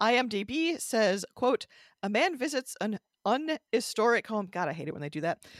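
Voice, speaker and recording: On a very clean recording with a silent background, a woman with a Midwestern American accent speaks at a fairly high pitch with very wide pitch swings, the sound dry and close with no echo. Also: moderate pace. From US Midwest, Michigan. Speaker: podcast co-host. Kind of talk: casual chat about local ghost stories.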